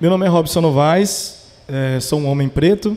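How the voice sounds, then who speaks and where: The man's dark, mellow tone comes through at a fairly slow pace. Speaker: podcast founder. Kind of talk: casual chat. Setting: stage with audience.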